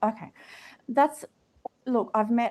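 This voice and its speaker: Moderate speed and ordinary pitch movement, captured on a very clean recording with a silent background. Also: woman. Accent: Australian. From Australia. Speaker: live audio room host. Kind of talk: casual group chat.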